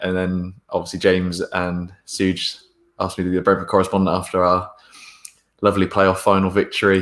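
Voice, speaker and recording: The recording is very clean, with a silent background. A man with a very deep, low pitch talks at a fairly quick pace in a flat monotone. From England, Bristol. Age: 20s. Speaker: football fan podcaster. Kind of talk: casual interview chat.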